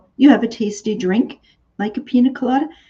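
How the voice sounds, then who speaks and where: A woman in a Canadian accent has a dark, mellow tone that is somewhat breathy. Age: 60s. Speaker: online shop host. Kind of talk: live sales stream. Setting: livestream. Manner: chatty, with many fillers.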